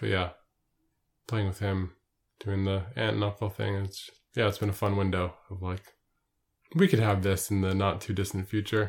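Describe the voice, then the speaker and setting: In a very clean recording with a silent background, a man speaks at a moderate pace with a fairly low pitch, a somewhat breathy sound, monotone, flat intonation and long, frequent pauses. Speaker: podcast co-host, interviewer. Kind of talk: casual chat.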